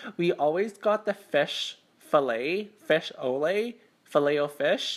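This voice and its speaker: The speaker has a Canadian accent and a voice that swings very widely in pitch. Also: woman. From Canada. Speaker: mukbang YouTuber. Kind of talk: eating show chat. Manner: casual, halting with stumbles.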